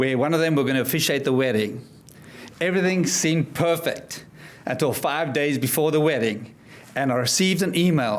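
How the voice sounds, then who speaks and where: With a South African accent, a man speaks at a fairly quick pace in a fairly high voice with lively intonation, and audible room echo fills the space. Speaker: motivational speaker and life coach. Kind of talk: speech to an audience. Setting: stage with audience.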